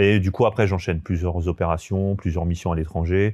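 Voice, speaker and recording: A man's very deep, low voice with a dark, mellow tone and ordinary pitch variation, at a moderate pace against a quiet background. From France, Haute-Savoie (Annecy area). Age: 30s. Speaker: army veteran turned real estate investor. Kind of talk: podcast interview. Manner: hesitant, many fillers.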